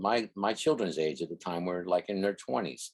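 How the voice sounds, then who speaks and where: This man talks at a fairly slow pace. The pitch varies in an ordinary way. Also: dry, close sound with no echo. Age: 60s. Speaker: RV traveler and video creator. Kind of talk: interview. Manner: casual, halting with repetitions.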